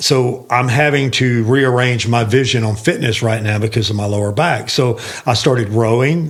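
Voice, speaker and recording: Fairly even intonation at a moderate pace with hardly any pauses, plus audible room echo. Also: man, medium pitch for a man. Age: 60s. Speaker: sales leader and fitness mentor. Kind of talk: casual podcast conversation.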